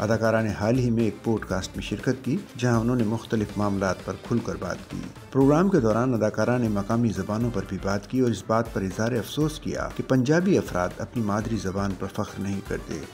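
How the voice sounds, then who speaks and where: A man is speaking. Music plays in the background. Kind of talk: news report narration.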